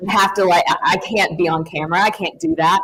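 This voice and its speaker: In a strong Southern US accent, a woman speaks at a medium pitch with ordinary pitch variation. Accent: thick Southern. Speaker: sports reporter. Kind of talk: panel discussion.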